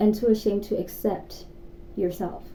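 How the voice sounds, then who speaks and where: Audible room echo surrounds a woman with a medium pitch and a dark, mellow tone. She talks at a moderate pace with ordinary pitch variation. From South Africa. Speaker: YouTuber. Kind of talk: casual chat. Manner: animated.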